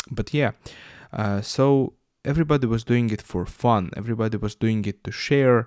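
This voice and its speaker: A man with a Russian accent speaks at a moderate pace and medium pitch, with ordinary pitch variation. The recording is very clean, with a silent background. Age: 20s. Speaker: YouTuber and podcaster. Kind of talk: podcast monologue. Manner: halting, many fillers.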